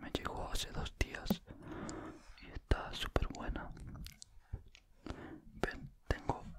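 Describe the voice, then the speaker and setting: Very slowly, a man speaks in a whisper. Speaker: ASMR creator. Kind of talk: casual talk to camera, ASMR whisper chat. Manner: whispered, soft-spoken. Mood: happy, pleased. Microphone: studio mic.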